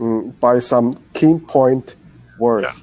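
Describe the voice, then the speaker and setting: A man with a Chinese accent speaks at a medium pitch in a dark, mellow tone. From China. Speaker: English learner. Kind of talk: casual chat. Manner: halting, many hesitations.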